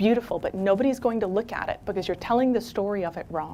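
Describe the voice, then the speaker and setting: An animated woman's voice with lively intonation at a fairly quick pace. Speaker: keynote speaker. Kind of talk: keynote talk. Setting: stage with audience. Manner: fast.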